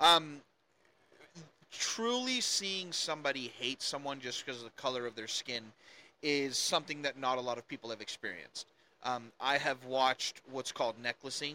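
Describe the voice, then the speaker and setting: Dry and close with no echo, this very clean recording with a silent background has a man speaking at medium pitch in a bright, sharp tone. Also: ordinary pitch variation, moderate pace. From South Africa. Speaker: political commentator. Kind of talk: casual chat.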